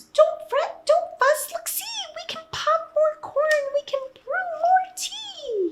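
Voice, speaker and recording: A put-on character voice squeaks at an extremely high pitch. It moves at a very slow pace. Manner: comforting, cheerful.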